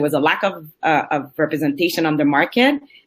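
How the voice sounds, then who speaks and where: Fairly low in pitch, a woman's voice moves at a fairly quick pace. Its pitch varies in an ordinary way. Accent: French. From Quebec, Montreal. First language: French. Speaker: entrepreneur, cosmetics company founder. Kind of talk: panel introduction.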